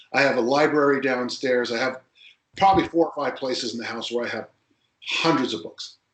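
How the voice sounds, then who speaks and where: A man talks fairly quickly in a normal speaking voice at a medium pitch. His pitch varies in an ordinary way, while his loudness swings widely. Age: 60s. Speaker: strength coach. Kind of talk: podcast interview.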